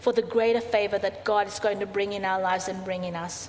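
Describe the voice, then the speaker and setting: A woman speaks at a moderate pace with fairly even intonation. Hers is an unremarkable speaking voice. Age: 40s. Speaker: pastor. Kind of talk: sermon. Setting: church.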